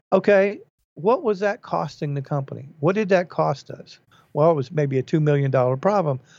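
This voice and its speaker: In a normal speaking voice, a man talks at a moderate pace, his pitch fairly high with ordinary variation. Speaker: podcast host.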